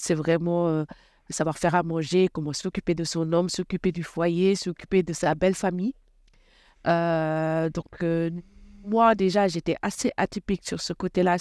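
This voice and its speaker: This is a plain, everyday voice, a woman with a fairly low pitch at a moderate pace. The recording is very clean, with a silent background and a dry, close sound with no echo. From Senegal, Rufisque. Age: 30s. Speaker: former volleyball player. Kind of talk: interview.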